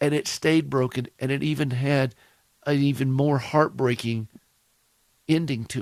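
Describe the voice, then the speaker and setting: A man with a Southern US accent, fairly high-pitched and monotone, at a moderate pace with long, frequent pauses. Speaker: radio host. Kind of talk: radio talk show.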